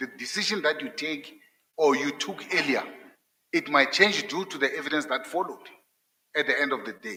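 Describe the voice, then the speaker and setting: A man talks at a moderate pace with a non-native accent. His pitch sits fairly high, and his intonation is lively. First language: not English. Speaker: judge candidate. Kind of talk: job interview. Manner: halting, repeats words.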